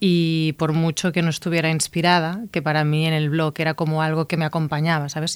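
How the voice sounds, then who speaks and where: At a moderate pace, the speaker uses a normal speaking voice in a very clean recording with a silent background. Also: woman. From Catalonia, Igualada. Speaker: novelist and screenwriter. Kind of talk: interview.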